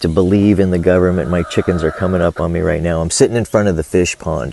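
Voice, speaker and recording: A man with a very deep, low pitch keeps his intonation fairly even while noticeable background noise carries on. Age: 60s. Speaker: vlogger and small farmer. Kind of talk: casual monologue vlog. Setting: outdoors by a fish pond on a farm.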